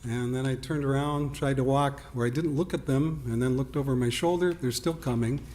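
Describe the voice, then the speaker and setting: A man with an ordinary speaking voice and medium pitch talks at a fairly quick pace with hardly any pauses. His loudness is very even and his intonation fairly even. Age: 60s. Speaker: resident giving public comment. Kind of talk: public comment at village board meeting.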